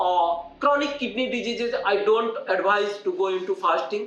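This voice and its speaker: With an Indian accent, this voice moves at a moderate pace over noticeable background noise and audible room echo. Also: man. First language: Hindi. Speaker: doctor. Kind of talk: health talk to camera. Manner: halting, many fillers.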